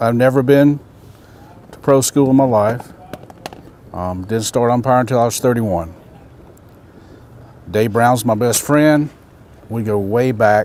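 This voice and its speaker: A man with a Carolinas accent speaks at a medium pitch and a fairly slow pace. Long, frequent pauses break up his speech over noticeable background noise. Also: ordinary pitch variation. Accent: US Southern (Carolinas). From South Carolina, US South. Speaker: umpire. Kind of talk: informal talk to trainees around a campfire.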